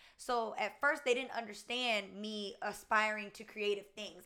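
Her American accent comes with a bright, sharp tone. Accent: Southern US with slight Spanish tinge. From US South. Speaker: YouTuber. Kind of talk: casual chat.

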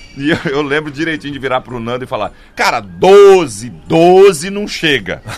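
Noticeable background noise sits behind a man speaking at a fairly slow pace and a fairly high pitch, with very wide pitch swings. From Goiânia, Brazil. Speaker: comedian. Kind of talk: casual chat. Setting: studio.

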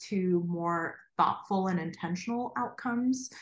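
At a fairly slow pace, the speaker delivers words in a somewhat breathy voice. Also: woman. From Ukraine, Kharkiv; immigrated to US as a child. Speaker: graphic designer and educator. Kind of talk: casual interview.

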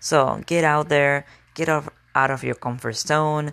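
In an Argentine accent, a woman speaks at a very slow pace with a very deep, low pitch. The recording is very clean, with a silent background. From Argentina. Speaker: motivational podcast host. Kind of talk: motivational monologue. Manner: animated.

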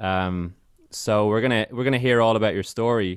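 A man with a Dublin accent talks at a moderate pace with ordinary pitch variation. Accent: Irish (Dublin). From Ireland, Dublin. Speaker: podcast host. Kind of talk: casual interview chat. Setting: video call.

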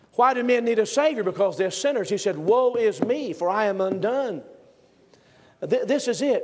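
High male pitch with lively intonation and noticeable background noise. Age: 50s. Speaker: pastor. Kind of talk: sermon. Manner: animated.

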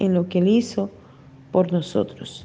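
Speaking at a fairly slow pace, a woman uses a medium pitch and a dark, mellow tone. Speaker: pastor. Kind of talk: sermon.

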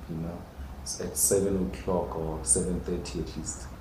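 In a South African accent, a man speaks at a fairly slow pace over noticeable background noise. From Limpopo, South Africa. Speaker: contemporary artist. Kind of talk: casual interview conversation. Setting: in-person conversation.

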